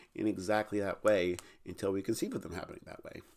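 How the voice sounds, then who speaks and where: The man's voice is fairly low in pitch, and his words come at a fairly quick pace. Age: 20s. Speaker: podcast host and educator. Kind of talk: solo monologue podcast. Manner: halting, many fillers.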